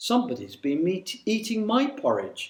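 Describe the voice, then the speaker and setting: A soft-spoken, growling put-on character voice at a fairly high pitch and a moderate pace. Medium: read story. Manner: gentle, murmuring.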